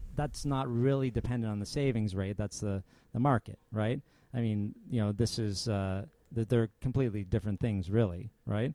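A man speaks in a fairly low, dark and mellow voice with ordinary pitch variation. His moderate pace comes through with a dry, close sound and no echo. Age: 30s. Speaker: personal finance podcast co-host. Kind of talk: casual chat.

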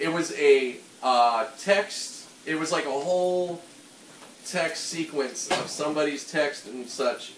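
A man with a slight Pittsburgh accent, fairly high pitch and ordinary pitch variation, very slow pace, noticeable background noise behind him. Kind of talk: casual chat while cooking. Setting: home kitchen.

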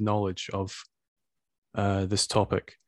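A man with a Scottish accent, fairly low pitch, moderate pace, dry close sound with no echo and a quiet background. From Scotland. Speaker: podcast host. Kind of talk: interview.

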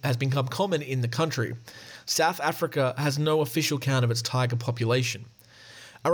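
What we hear is a natural reading voice.

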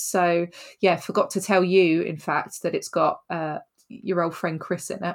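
Here a woman speaks with a British accent at a medium pitch and a moderate pace. Her recording is very clean, with a silent background. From Britain. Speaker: film podcast host. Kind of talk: casual chat.

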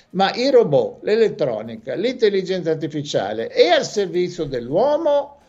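A man talks at a moderate pace. His pitch sits high. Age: 70s. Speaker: professor. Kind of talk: radio interview.

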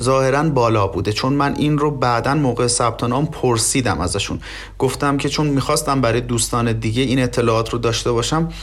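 Talking at a very fast pace with very even loudness, a man is heard amid audible room echo and noticeable background noise. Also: medium pitch for a man, fairly even intonation. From southwestern Iran, oil region. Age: 30s. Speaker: immigrant master's student. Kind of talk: interview. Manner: polite, formal.

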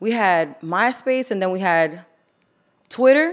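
Woman in a New York accent, very slow pace, very wide pitch swings, very clean recording with a silent background. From Queens, New York. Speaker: artist and former nightlife promoter. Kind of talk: casual chat.

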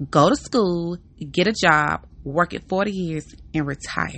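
Here is a woman with a plain, everyday voice. Her pitch is fairly low, with ordinary pitch variation. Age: 30s. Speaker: podcast host. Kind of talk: casual monologue.

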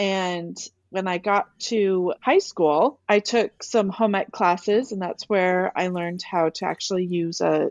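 In a normal speaking voice, a woman talks at a fairly slow pace, her pitch medium with ordinary variation. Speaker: quilt designer and author. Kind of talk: casual interview.

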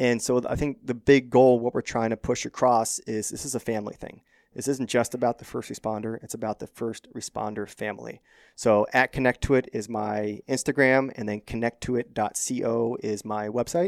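On a very clean recording with a silent background, a man with a General American accent uses a plain, everyday voice at medium pitch. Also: fairly even intonation, moderate pace. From Arizona, Phoenix area. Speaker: firefighter and breathwork instructor. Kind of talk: casual interview chat.

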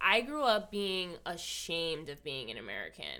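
A woman's bright, sharp, animated voice with lively intonation at a moderate pace, on a very clean recording with a silent background. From Hawaii. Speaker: podcast host. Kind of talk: casual chat. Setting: studio.

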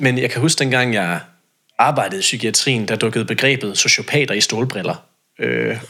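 With an unremarkable speaking voice, a man talks at a moderate pace and medium pitch with ordinary pitch variation. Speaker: self-employed social sector consultant and debater. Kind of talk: podcast interview.

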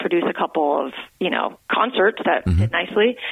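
Over noticeable background noise, a woman speaks in an excited, energetic tone. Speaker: podcast guest, music and theater producer. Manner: fast talker; excited, energetic, revved up.

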